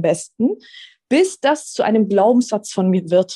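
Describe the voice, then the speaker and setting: A woman's fairly high, somewhat breathy voice with a dark, mellow tone and lively intonation, at a fairly slow pace, in a dry, close sound with no echo. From Swabia, southern Germany. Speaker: manifestation coach. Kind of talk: interview.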